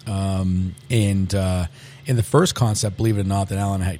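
A man with an American accent, fairly low in pitch and dark, mellow in tone, at a moderate pace with ordinary pitch variation. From Massachusetts (Medford, Boston area). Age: 40s. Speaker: restaurant owner and chef. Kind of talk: interview.

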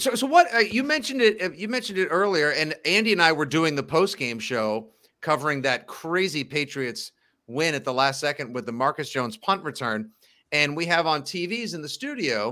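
On a very clean recording with a silent background, a man speaks at a moderate pace in a bright, sharp tone, his fairly high pitch swinging very widely. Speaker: sports podcast host. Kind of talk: casual chat. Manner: animated.

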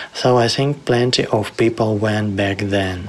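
Noticeable background noise accompanies a man with a Ukrainian accent speaking at a fairly low pitch with fairly even intonation. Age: 30s. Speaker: programmer turned volunteer. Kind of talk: testimony.

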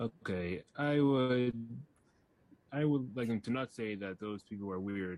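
A man talks with a plain, everyday voice at a medium pitch. His pace is fairly slow, with ordinary pitch variation. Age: young. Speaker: children's book author. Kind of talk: interview.

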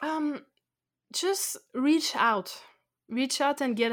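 A woman speaks very slowly with a French accent. Her pitch varies in an ordinary way, and the recording is very clean with a silent background. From France. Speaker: expat blogger. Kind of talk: interview.

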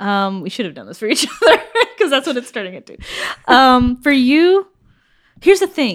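A woman at a high pitch and moderate pace, with very wide pitch swings, big swings in loudness and long, frequent pauses, on a very clean recording with a silent background. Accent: American. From United States. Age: 20s. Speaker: podcast co-host. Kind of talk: casual chat.

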